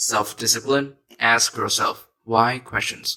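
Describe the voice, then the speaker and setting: A man speaks with a bright, sharp tone. His intonation is monotone and flat. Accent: Vietnamese. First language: Vietnamese. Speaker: self-help YouTuber. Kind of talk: motivational talk.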